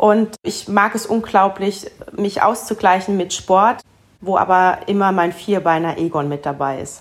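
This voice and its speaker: An unremarkable speaking voice from a woman at a medium pitch, with ordinary pitch variation and a fairly slow pace. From Palatinate, Germany. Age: 40s. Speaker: winemaker. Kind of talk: interview.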